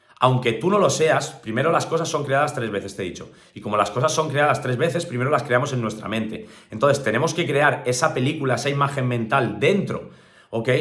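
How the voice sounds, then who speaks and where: Speaking fairly quickly, a man with a fairly high voice and ordinary pitch variation is heard through noticeable background noise and audible room echo. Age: 30s. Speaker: motivational speaker. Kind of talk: motivational talk.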